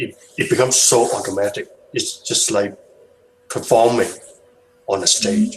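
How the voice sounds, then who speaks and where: At a fairly slow pace and with a non-native accent, someone talks through noticeable background noise. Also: man. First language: not English. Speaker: hangout participant sharing experience. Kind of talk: video hangout discussion. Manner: halting, many fillers and repetitions.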